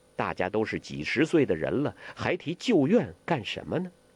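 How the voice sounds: A man's put-on character voice, fairly low-pitched with a slightly husky edge and big pitch swings. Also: moderate pace.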